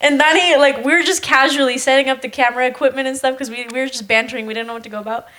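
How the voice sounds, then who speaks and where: Talking at a very fast pace, a woman with a high voice sounds animated, her pitch varying in an ordinary way. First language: Spanish. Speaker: podcast co-host. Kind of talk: casual chat.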